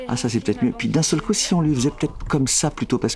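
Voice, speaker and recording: A man rushes along at a very fast pace with a fairly high pitch, against noticeable background noise. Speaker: voice director. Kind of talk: interview answer.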